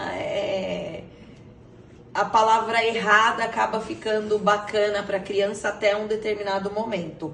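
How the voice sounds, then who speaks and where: The speaker goes at a fairly slow pace in a flat monotone, with noticeable background noise and audible room echo. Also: woman, medium pitch for a woman. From Brazil, São Paulo. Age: 40s. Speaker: interviewee, mother. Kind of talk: interview. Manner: halting, with many fillers.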